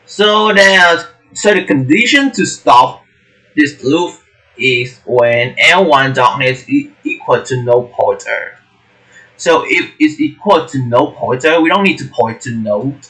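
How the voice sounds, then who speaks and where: A man with a non-native accent speaks very slowly in a fairly high, bright, sharp voice with very wide pitch swings. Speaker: coding tutor. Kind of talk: tutorial. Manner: halting.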